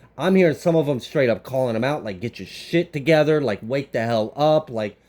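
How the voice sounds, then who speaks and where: Against noticeable background noise, a man at medium pitch speaks fairly quickly in an animated tone with lively intonation. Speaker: tarot reader. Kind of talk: tarot reading monologue. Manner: stuttering over words.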